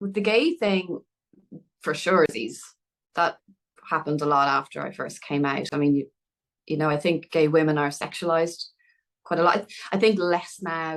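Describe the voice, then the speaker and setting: A woman with an Irish accent speaks at a fairly low pitch and a moderate pace, leaving long, frequent pauses. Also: ordinary pitch variation. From Dublin, Ireland. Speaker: film writer and director. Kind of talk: podcast interview answer.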